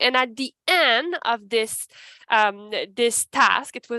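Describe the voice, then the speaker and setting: A woman with a Quebec accent has a bright, sharp tone and lively intonation, heard in a dry, close sound with no echo. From Canada, Ottawa-Gatineau region. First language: French. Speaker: human resources advisor. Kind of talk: panel presentation. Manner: halting.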